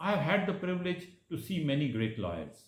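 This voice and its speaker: A man talks at a moderate pace with vocal fry and very wide pitch swings. Audible room echo surrounds his speech. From India, Madhya Pradesh (Jabalpur). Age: 60s. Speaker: lawyer. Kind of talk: prepared speech. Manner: formal.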